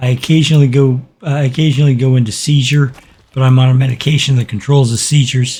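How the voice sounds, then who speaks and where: Very fast, somewhat breathy speech comes in a dark, mellow tone with monotone, flat intonation. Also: man, medium pitch for a man, very even loudness. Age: old. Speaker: gaming youtuber. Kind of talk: let's play commentary. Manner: slurred speech.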